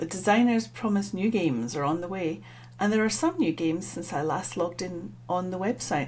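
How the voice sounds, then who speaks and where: Speaking at a fairly quick pace, a woman with a fairly low pitch swings her pitch very widely. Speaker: stroke survivor vlogger. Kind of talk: app review monologue.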